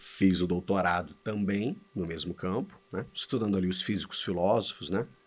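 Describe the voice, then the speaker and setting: A man speaks at a moderate pace with a very deep, low pitch, fairly even intonation and hardly any pauses. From Rio de Janeiro state, Brazil (Serra Fluminense). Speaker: philosophy professor. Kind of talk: podcast interview conversation.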